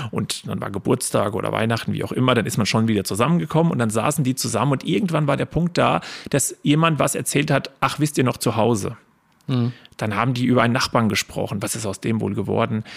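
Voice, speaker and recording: A man with vocal fry, talking at a very fast pace with ordinary pitch variation. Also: medium pitch for a man. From Spessart, Lower Franconia/Hesse border region, Germany. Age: 30s. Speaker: local history guide and business owner. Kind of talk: podcast interview.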